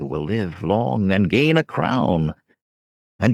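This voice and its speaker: In a put-on character voice, a man sounds raspy, speaking at a fairly slow pace with very wide pitch swings. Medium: read story.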